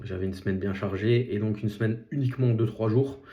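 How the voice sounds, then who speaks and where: Somewhat breathy with a dark, mellow tone, a man speaks at a fairly low pitch and a moderate pace. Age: 30s. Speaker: podcast host, nurse and property investor. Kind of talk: solo podcast monologue. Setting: self-filmed vlog. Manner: halting, many fillers.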